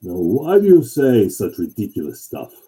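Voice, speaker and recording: In a gruff, put-on character voice, a man speaks at medium pitch and a moderate pace. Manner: gruff, boastful.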